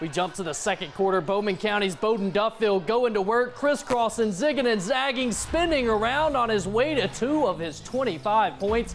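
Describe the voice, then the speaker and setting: Music plays in the background as a man speaks at a moderate pace. His pitch is high and his intonation lively. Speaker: sports anchor and reporter. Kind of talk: local TV sports reporting.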